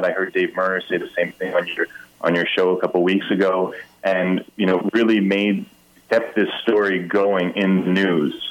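A man talks at a moderate pace while noticeable background noise continues behind him. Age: 30s. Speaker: politician. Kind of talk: political interview. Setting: phone call.

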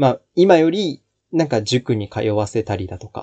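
A man's dark, mellow voice at medium pitch, lively intonation, a dry, close sound with no echo and a quiet background. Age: 20s. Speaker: podcast host, aspiring actor. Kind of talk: casual solo talk. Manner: halting, many fillers.

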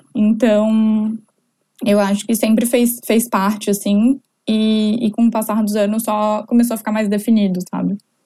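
Her voice fairly high in pitch yet dark and mellow in tone, a woman speaks somewhat breathily at a fairly slow pace with monotone, flat intonation. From southern Brazil, Florianópolis. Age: 20s. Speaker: entrepreneur. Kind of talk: casual interview chat.

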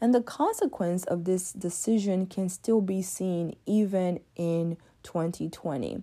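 Its tone is dark and mellow. The pitch shifts in an ordinary way. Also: woman, medium pitch for a woman. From Democratic Republic of Congo. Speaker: podcast host. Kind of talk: scripted monologue.

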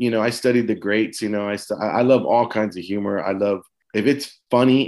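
With an American accent, a man in an ordinary speaking voice talks at a moderate pace, fairly low in pitch and fairly even in intonation, on a very clean recording with a silent background. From San Antonio, Texas. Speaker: comedian. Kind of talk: casual chat.

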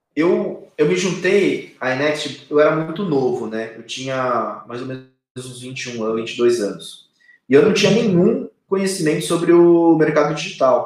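A man's fairly high-pitched voice with lively intonation at a fairly slow pace. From Brazil, São Paulo state (Arujá). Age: 30s. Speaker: company co-founder. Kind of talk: interview. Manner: hesitant, many fillers.

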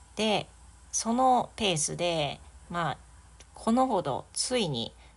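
A woman with a relaxed tone. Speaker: English teacher. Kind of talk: solo podcast monologue, bilingual. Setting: home living room.

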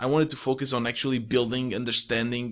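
Someone with a Portuguese accent speaks at a fairly quick pace on a very clean recording with a silent background. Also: man. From Portugal. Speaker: solo entrepreneur, podcaster. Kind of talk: casual interview.

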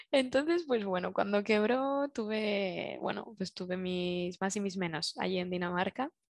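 With lively intonation and hardly any pauses, a woman speaks at a fairly slow pace in a medium-pitched voice. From Spain, Zaragoza. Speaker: industrial designer, circular economy consultant. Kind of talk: interview. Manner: halting.

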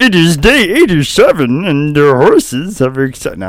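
A man uses a put-on character voice set high in pitch and keeps a moderate pace.

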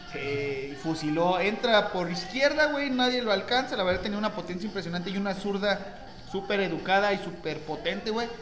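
A man with a Mexican accent talks at a fairly quick pace in a high voice with lively intonation, with audible room echo and noticeable background noise. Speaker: football podcast host. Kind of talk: casual chat.

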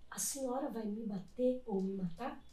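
A somewhat breathy woman's voice at a fairly high pitch, fairly slow in pace, with audible room echo. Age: 40s. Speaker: body modification artist and competition judge. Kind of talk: casual chat. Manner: animated.

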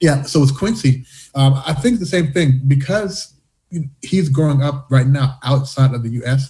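Somewhat breathy and dark, mellow in tone, a man's fairly high voice moves at a fairly slow pace with ordinary pitch variation. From US, born in Canada to Jamaican parents. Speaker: diversity coach and entrepreneur. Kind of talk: interview conversation. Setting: remote call. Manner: talkative, jumps in.

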